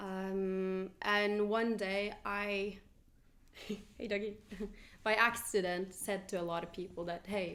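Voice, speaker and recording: With a Norwegian accent, a woman speaks at a medium pitch and keeps her intonation fairly even. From Norway. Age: 20s. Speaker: podcast host, journalist. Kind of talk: casual chat. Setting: winery.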